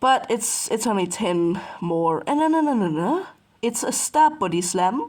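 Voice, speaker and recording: Speaking at a fairly slow pace, a woman with a fairly high pitch swings her voice very widely up and down. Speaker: gaming youtuber. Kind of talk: gameplay commentary. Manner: casual, conversational.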